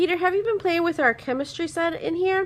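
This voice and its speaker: In a put-on character voice, a woman talks at a fairly quick pace, squeaky and extremely high-pitched. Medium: read story.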